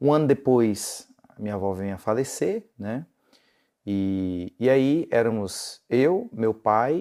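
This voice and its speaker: Speaking at a very slow pace, a man uses a medium pitch, a dark, mellow tone and lively intonation. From Brazil, southern Bahia and northeastern Minas Gerais. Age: young. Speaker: pastor. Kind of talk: interview. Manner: conversational, many fillers.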